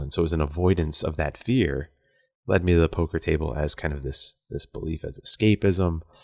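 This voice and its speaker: At a fairly quick pace, a man speaks with a very deep, low pitch and ordinary pitch variation, in a very clean recording with a silent background and a dry, close sound with no echo. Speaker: podcast host. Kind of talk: casual monologue. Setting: at home. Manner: softer than usual.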